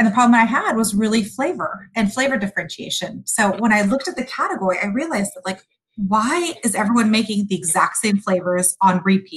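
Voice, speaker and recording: A woman with a fairly high pitch talks at a fairly quick pace, somewhat breathy and with hardly any pauses. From Sudan, raised in US. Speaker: food company founder. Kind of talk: interview.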